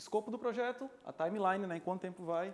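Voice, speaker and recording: This man's voice is high in pitch. His pitch variation is ordinary. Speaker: software developer giving a talk. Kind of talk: presentation talk. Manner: fast; hesitant, many fillers.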